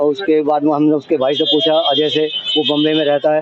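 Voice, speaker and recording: Against noticeable background noise, a man talks at a fairly high pitch. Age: 60s. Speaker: complainant father. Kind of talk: testimony. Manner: halting.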